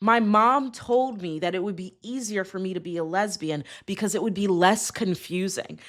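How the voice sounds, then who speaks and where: Against a very clean recording with a silent background, a woman with an American accent speaks in an animated tone at a medium pitch with ordinary pitch variation. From US South, South Carolina. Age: 20s. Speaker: podcast host. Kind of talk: casual monologue.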